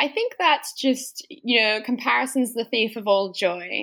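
This woman talks with an American accent. She keeps a moderate pace. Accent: Australian with slight American twang. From Australia. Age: 20s. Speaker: trail runner. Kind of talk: casual interview chat.

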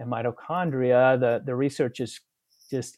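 An unremarkable speaking voice moves at a moderate pace with fairly even intonation. The recording is very clean, with a silent background. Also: man. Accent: American. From Utah. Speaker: family physician. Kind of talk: interview.

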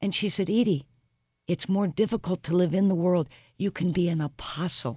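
Against a silent background on a very clean recording, a woman with a Midwestern American accent speaks at a moderate pace and fairly low pitch, with very even loudness and ordinary pitch variation. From US Midwest, St. Louis. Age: 60s. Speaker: leadership coach and speaker. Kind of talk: interview. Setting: studio.

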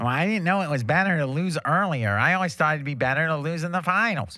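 Using a put-on character voice, a man talks at a very fast pace with lively intonation. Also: fairly high pitch for a man. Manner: dim, naive.

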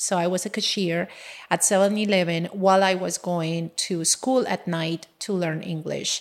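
With a Colombian accent, a woman speaks at a moderate pace. Her fairly low voice keeps a fairly even intonation. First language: Spanish. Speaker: engineer and business owner. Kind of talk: casual interview conversation, personal storytelling.

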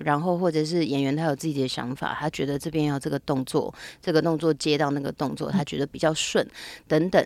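A woman with a very deep, low voice speaks in a fairly even intonation, recorded very cleanly against a silent background. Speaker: actress and intimacy coordinator. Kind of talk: interview conversation.

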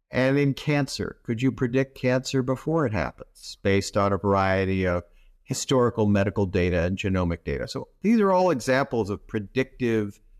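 A man with an American accent speaks at a moderate pace and a fairly low pitch. The sound is dry and close with no echo, over a quiet background. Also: lively intonation. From Southern California. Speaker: healthcare technology executive and physician. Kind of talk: interview. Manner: clear, measured cadence.

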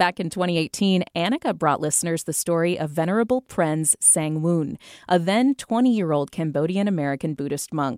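A plain, everyday voice from a woman, fairly low in pitch, with lively intonation, a moderate pace and hardly any pauses, in a dry, close, echo-free and very clean recording with a silent background. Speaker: radio host. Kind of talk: news reading. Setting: studio.

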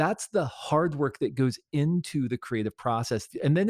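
A man with an ordinary speaking voice and lively intonation at a moderate pace, on a very clean recording with a silent background. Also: dry, close sound with no echo. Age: 40s. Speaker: author and creativity speaker. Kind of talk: interview.

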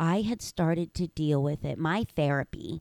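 A woman speaks with a very deep, low pitch. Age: 30s. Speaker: author and motivational speaker. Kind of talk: casual chat.

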